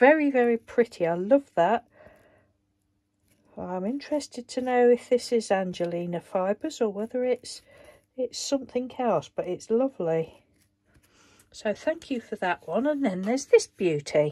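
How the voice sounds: The voice has a dark, mellow tone and lively intonation. The pace is fairly slow. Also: woman, fairly high pitch for a woman.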